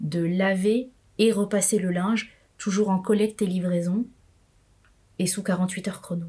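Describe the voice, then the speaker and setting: The voice is somewhat breathy, with a dark, mellow tone. Intonation stays fairly even at a moderate pace. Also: woman. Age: 40s. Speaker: entrepreneur. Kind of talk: interview. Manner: halting.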